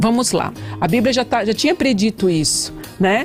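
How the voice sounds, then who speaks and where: With music playing in the background, the speaker talks at a moderate pace with lively intonation. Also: woman. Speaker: pastor and psychologist. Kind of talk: radio interview answer.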